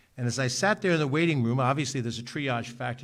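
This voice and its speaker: Someone speaks at a very fast pace with a New York accent. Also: man. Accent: New York area American. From New York, Westchester (Mount Vernon). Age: 60s. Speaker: county executive, politician. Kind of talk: ceremonial speech. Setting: public ceremony at ambulance corps building. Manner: earnest, with frequent filler 'uh'.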